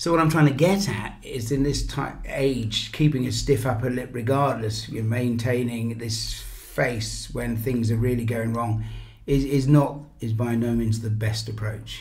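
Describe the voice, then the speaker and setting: Over noticeable background noise and audible room echo, a man with an English accent speaks fairly slowly at a medium pitch. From England. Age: 60s. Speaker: business founder. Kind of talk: interview. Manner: animated.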